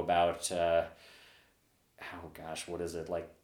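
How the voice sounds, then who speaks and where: A man speaks at a very deep, low pitch. Audible room echo surrounds his voice. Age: 30s. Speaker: software developer and bar regular. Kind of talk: casual chat.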